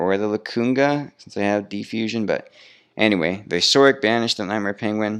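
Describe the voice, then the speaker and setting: Over a quiet background, a man at a fairly low pitch talks at a fairly quick pace with ordinary pitch variation and big swings in loudness. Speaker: card game youtuber. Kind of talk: gameplay commentary. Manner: fast.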